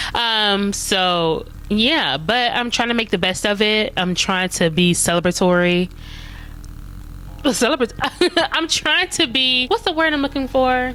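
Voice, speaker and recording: Noticeable background noise sits behind a woman with a fairly high pitch. She speaks at a fairly slow pace with very wide pitch swings. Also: very even loudness. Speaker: vlogger. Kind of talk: casual chat. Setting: at home in front of Christmas tree. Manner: rambling, conversational.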